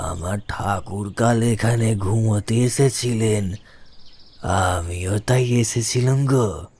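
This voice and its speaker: A man's put-on character voice, medium in pitch, at a very slow pace. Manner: calm, steady.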